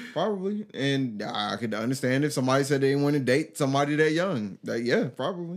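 Over noticeable background noise, a man talks at a very fast pace with lively intonation and hardly any pauses. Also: fairly high pitch for a man. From US military family, moved around; adult life in Georgia. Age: 30s. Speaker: podcast guest. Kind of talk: casual chat.

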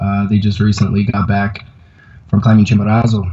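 In an American accent, a man with a fairly low voice speaks at a fairly quick pace, his intonation monotone and flat. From Colorado. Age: 30s. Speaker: climber and backcountry skier. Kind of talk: interview testimony. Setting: video call from a yoga studio. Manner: halting, many fillers. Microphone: unstable internet connection; inside a fort of yoga mats against echo.

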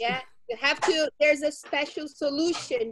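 A woman's high voice with ordinary pitch variation. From Brazil. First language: Portuguese. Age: 40s. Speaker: English teacher. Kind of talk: casual Q&A chat with students. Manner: slow, simple English.

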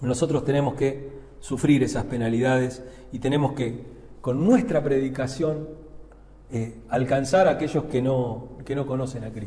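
In a room with audible echo, a man at medium pitch talks at a fairly slow pace with fairly even intonation and long, frequent pauses. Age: 50s. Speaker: pastor. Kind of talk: sermon. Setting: church pulpit. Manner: hesitant, many fillers and repetitions.

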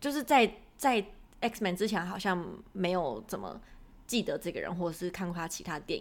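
Lively intonation in a woman's normal speaking voice, medium in pitch, at a moderate pace. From Taiwan. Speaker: podcast co-host. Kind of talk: casual chat.

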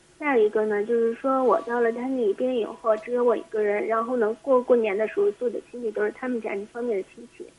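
A woman at a very fast pace with hardly any pauses and big swings in loudness, amid noticeable background noise. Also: ordinary pitch variation. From Heilongjiang. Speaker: caller. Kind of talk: phone call-in. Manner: halting.

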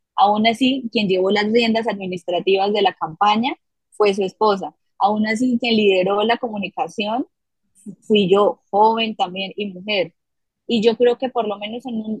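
In a fairly high pitch, a woman talks at a fairly slow pace, somewhat breathy, with ordinary pitch variation and a dry, close sound with no echo. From Colombia, Bucaramanga, Santander. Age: young. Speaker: political communications director. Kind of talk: interview conversation.

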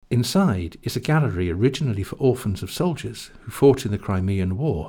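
A man's fairly low, dark, mellow voice, somewhat breathy, with lively intonation. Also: very clean recording, silent background. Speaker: audio tour narrator. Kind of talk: scripted audio-guide narration giving step-by-step walking directions. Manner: clear, measured, instructional pacing; polite, formal council-style tone.

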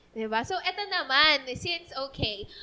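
The voice is raised and projected. It moves at a fairly slow pace. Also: woman. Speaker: podcast host. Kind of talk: casual chat.

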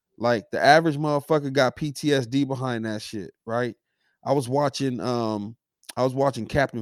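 A man talks at a moderate pace with ordinary pitch variation. The recording is very clean and dry, close with no echo, and the background silent. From South Central Los Angeles. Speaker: podcast co-host. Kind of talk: casual chat. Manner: animated.

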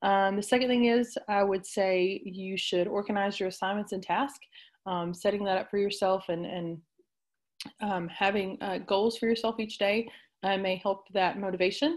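A woman speaks at a moderate pace in a medium pitch, her intonation fairly even. The recording is very clean, with a silent background. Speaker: teacher. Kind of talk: interview. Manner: halting, many fillers.

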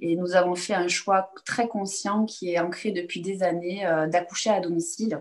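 A woman talks at a moderate pace with a medium pitch. It is an unremarkable speaking voice. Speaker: chiropractor. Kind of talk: interview.

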